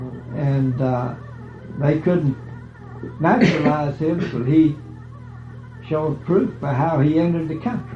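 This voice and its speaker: Over music in the background, a man with a fairly high pitch talks at a fairly slow pace, using ordinary pitch variation and long, frequent pauses. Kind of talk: family oral history interview. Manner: casual, conversational.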